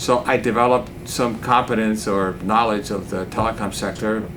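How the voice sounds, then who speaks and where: Over noticeable background noise and audible room echo, a man with a Spanish accent speaks at a moderate pace with monotone, flat intonation. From Cuba, then US boarding school from age 11. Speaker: investment banker. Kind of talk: interview.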